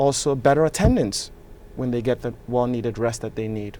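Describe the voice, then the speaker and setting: A man with a Nigerian accent, medium pitch and moderate pace, music in the background. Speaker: political candidate and real estate developer. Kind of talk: interview.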